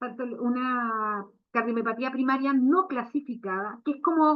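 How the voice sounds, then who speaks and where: A woman speaks at a fairly slow pace. Her voice is high, with lively intonation. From Chile. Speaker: veterinary cardiologist. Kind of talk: lecture. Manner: hesitant, many fillers.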